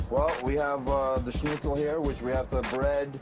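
Clear music plays behind a man with a New York accent who talks at a fairly slow pace. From New York City. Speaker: food truck owner. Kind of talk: interview answer. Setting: inside a food truck on a city street. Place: kitchen.

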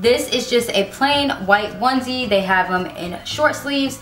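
A woman at a moderate pace, with faint background music and audible room echo. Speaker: parenting vlogger. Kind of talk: casual product show-and-tell vlog. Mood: upbeat, friendly. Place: home room.

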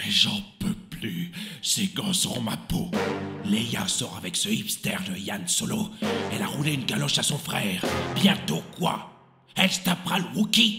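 A man speaks at a moderate pace in a high voice, with clear music in the background. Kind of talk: comic parody. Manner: aggrieved, ranting.

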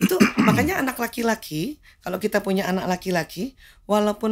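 The background is quiet as a woman speaks. She moves at a fairly quick pace with ordinary pitch variation. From Jakarta, Indonesia. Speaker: medical doctor; guest. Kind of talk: interview talk show. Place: studio. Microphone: studio mic.

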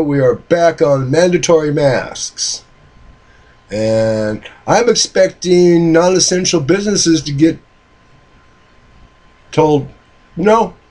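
Pausing long and often, a man speaks at a very slow pace in a high pitch with lively intonation. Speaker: hobby machinist vlogger. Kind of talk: casual vlog reply. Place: home room. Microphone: webcam.

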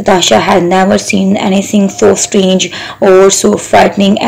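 The delivery is plain. Someone reads the text aloud.

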